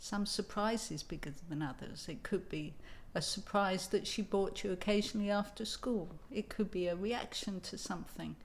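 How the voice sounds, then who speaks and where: A woman with an English accent talks at a moderate pace with ordinary pitch variation. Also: medium pitch for a woman. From England. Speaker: writing coach. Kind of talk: tutorial with personal storytelling.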